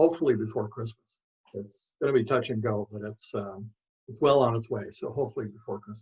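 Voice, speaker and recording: Somewhat breathy and medium in pitch, a man speaks at a fairly quick pace with ordinary pitch variation and big swings in loudness. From Manitoba, Canada (Rapid City). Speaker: author. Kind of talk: interview. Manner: hesitant, many fillers.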